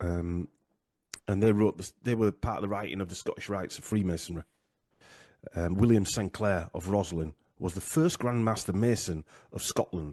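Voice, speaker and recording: Recorded dry and close with no echo and a quiet background, a man with a dark, mellow tone and fairly low pitch talks at a moderate pace, using ordinary pitch variation and long, frequent pauses. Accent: Yorkshire. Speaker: genealogy researcher, podcaster. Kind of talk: interview discussion. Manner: halting, many fillers.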